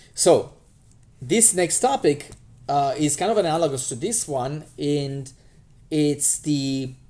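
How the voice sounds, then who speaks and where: Very slow and marked by long, frequent pauses, the voice has a dark, mellow tone and ordinary pitch variation. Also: man, fairly high pitch for a man. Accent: Romanian. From Romania. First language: Romanian. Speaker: math teacher. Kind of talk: lecture. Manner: halting, many fillers.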